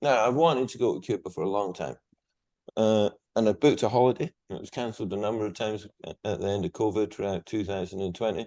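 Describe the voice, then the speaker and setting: A man with a Scottish accent and a fairly low voice, talking very fast between long, frequent pauses. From Scotland. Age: 60s. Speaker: guest, Second World War speaker. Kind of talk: interview.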